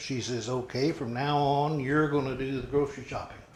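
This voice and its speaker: In an American accent, a man speaks somewhat breathily at a moderate pace, with audible room echo. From southwest Missouri (Webb City, Jasper County). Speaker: interviewee, local elder. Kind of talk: oral history interview.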